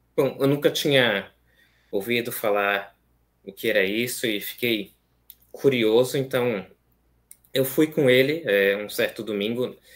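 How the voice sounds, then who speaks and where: Speaking fairly slowly with long, frequent pauses, a man keeps a medium pitch with ordinary pitch variation. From Brazil, São Paulo city (east zone); São Paulo, Brazil. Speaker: seminarian; guest. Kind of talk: interview conversation. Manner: hesitant, many fillers. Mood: calm, earnest. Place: home room.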